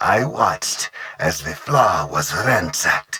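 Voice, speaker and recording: A man speaks in a put-on character voice. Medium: video game. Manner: measured, calculating.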